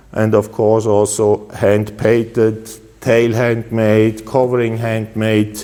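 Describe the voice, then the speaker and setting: Over noticeable background noise, a man with a Swiss accent speaks at a very slow pace in a medium pitch, with monotone, flat intonation and very even loudness. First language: Swiss German. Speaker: custom motorcycle builder. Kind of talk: product presentation. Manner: halting, with many filler uhs.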